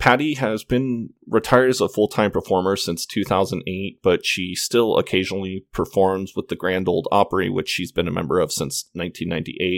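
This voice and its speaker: Recorded very cleanly against a silent background, with a dry, close sound and no echo, a man with an ordinary speaking voice talks at a moderate pace with hardly any pauses, using a fairly low pitch and ordinary pitch variation. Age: 30s. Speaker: podcast host. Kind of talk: solo podcast monologue. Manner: casual, with fillers.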